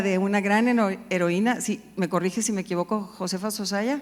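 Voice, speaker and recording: Fairly even intonation marks this woman's speech at a moderate pace. She has a plain, everyday voice with a fairly high pitch. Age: 60s. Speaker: business and civic leader. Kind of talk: panel discussion.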